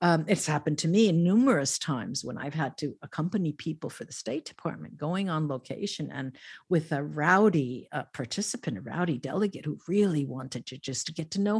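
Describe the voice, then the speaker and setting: A woman's somewhat breathy voice swings very widely in pitch at a moderate pace. The recording is very clean, with a silent background. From Italy, raised in New Jersey. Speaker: medium and professor. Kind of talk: casual interview.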